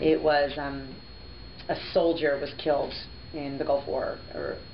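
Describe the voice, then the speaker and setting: Amid noticeable background noise and audible room echo, a woman with a slight New Jersey accent speaks at a fairly slow pace. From New Jersey, US. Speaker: radio host. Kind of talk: interview.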